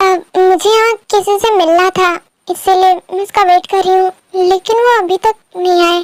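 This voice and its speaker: Using a put-on character voice pitched extremely high, a woman speaks at a moderate pace with monotone, flat intonation and very even loudness, in a dry, close sound with no echo. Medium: fan dub. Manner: hesitant, polite.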